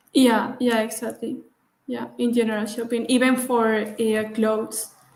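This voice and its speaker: In a Spanish accent, a woman speaks at a fairly slow pace with a fairly high pitch and monotone, flat intonation. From Valencia, Spain. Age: 20s. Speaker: wine marketing professional from a family winery. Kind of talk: interview. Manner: hesitant, many fillers.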